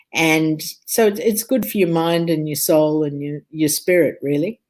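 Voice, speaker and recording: In a very clean recording with a silent background, a woman speaks with an Australian accent. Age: 60s. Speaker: food and health speaker. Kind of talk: interview chat.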